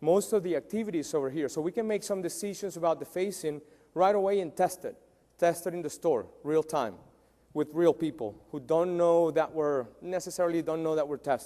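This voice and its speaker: This man talks at a fairly quick pace with a dark, mellow tone. His pitch sits high for a man. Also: ordinary pitch variation. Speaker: tech company founder presenting. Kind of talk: conference talk. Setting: stage with audience. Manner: hesitant, many fillers.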